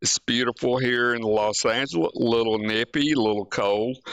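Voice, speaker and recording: With an Alabama accent, a man talks at a medium pitch and with fairly even intonation. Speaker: podcast host. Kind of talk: casual podcast chat. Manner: halting, many fillers.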